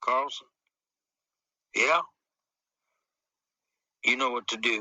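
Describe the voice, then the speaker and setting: A man's raspy, put-on character voice at medium pitch and a fairly slow pace. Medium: read story. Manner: terse, calm.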